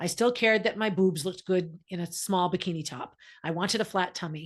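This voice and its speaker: Speaking at a fairly quick pace, a woman with a medium pitch sounds animated against a quiet background. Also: ordinary pitch variation. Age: 60s. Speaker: guest sharing late pregnancy story. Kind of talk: interview testimony.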